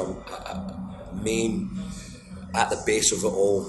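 Over noticeable background noise and audible room echo, a man with a Glaswegian accent speaks with lively intonation. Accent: Glaswegian Scottish. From Scotland. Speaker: blues guitarist and singer. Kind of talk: interview.

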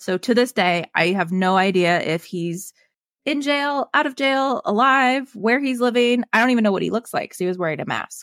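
In a General American accent, a woman with a normal speaking voice and fairly high pitch talks at a moderate pace with lively intonation, in a dry, close sound with no echo and a very clean recording with a silent background. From Colorado. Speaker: health and wellness coach. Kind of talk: interview testimony.

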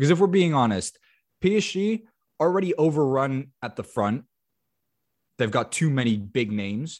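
A man with a fairly high pitch talks at a moderate pace, his voice making very wide pitch swings and broken by long, frequent pauses. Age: 20s. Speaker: football podcast host. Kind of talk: casual chat.

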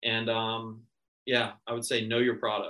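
A man with an American accent speaks at a moderate pace in a bright, sharp tone. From Florida. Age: 30s. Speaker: real estate agent. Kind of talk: interview. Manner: hesitant, many fillers.

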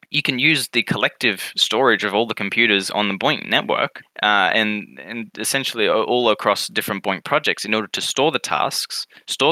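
With an Australian accent, a man speaks at a moderate pace in a fairly low pitch. His tone is bright and sharp, and the sound is dry and close with no echo. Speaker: podcast co-host. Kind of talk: casual chat.

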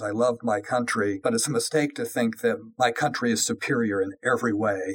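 A man with a plain, everyday voice, a General American accent, a medium pitch and fairly even intonation. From Colorado, US. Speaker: tech industry lawyer. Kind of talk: interview.

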